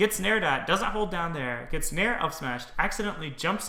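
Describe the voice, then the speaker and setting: A man talks at a moderate pace with audible room echo around his voice. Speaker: game streamer and commentator. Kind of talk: game analysis commentary. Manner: casual, with frequent fillers.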